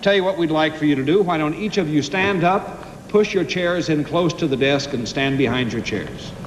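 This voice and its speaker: Over noticeable background noise, a man with an American accent talks at a fairly high pitch with hardly any pauses. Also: ordinary pitch variation, moderate pace. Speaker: game show host. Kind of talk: game show hosting.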